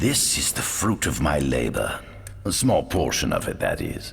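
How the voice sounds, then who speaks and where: Using a put-on character voice, a man speaks at a moderate pace over light background noise. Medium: video game. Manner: smooth, silky, persuasive.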